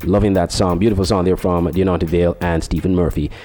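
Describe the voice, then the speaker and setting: A man speaks with music in the background. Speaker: radio host. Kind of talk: radio show hosting with faith-based encouragement. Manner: warm, earnest, encouraging.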